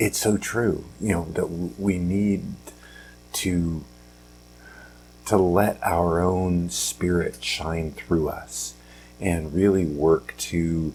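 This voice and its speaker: A man speaks quietly at a very slow pace, leaving long, frequent pauses. His very deep, low pitch shows ordinary variation. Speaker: podcast host. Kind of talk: casual motivational talk. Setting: at home, early morning. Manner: quiet, hushed; halting, many fillers.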